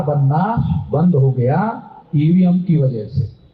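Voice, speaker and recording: A man's speech echoes audibly around the room, with noticeable background noise as well. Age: 60s. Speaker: political activist. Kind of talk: political speech. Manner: animated.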